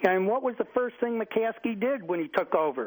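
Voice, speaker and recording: With an American accent, a man talks at a moderate pace, his intonation lively. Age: 60s. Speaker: caller. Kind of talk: radio call-in. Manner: halting.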